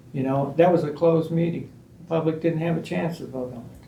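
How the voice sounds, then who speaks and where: A man with an American accent speaks at a moderate pace and a fairly high pitch, his intonation fairly even. Noticeable background noise and audible room echo fill the recording. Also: big swings in loudness. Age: 70s. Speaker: resident giving public comment. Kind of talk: public comment at meeting.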